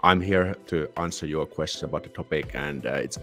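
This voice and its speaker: With a very deep, low voice, a man talks at a moderate pace with ordinary pitch variation. The sound is dry with no echo, and faint music plays in the background. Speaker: livestream host. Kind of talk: casual livestream chat. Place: home room. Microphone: studio mic.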